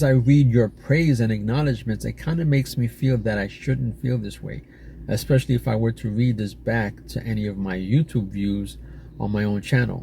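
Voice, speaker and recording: A man speaks at a moderate pace and medium pitch, somewhat breathy and dark, mellow in tone, with ordinary pitch variation. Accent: American. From New York City. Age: 40s. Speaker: YouTuber. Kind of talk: casual monologue reading AI responses aloud. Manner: halting.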